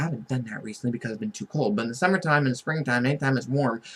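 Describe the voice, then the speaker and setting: A man's medium-pitched voice. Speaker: vlogger. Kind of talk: casual monologue vlog. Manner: fast; animated.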